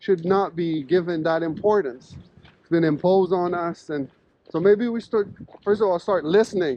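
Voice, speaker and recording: A man speaks in a high pitch with an animated tone. His pace is moderate, and his loudness swings widely. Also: ordinary pitch variation. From Quebec. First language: French. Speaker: professor. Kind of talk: casual interview conversation while walking. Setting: outdoors walking in snowstorm.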